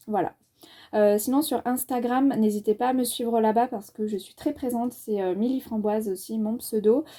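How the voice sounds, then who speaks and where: The tone is dark and mellow, with ordinary pitch variation at a moderate pace. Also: woman. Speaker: book and film youtuber. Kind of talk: casual review monologue. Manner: hesitant, many fillers.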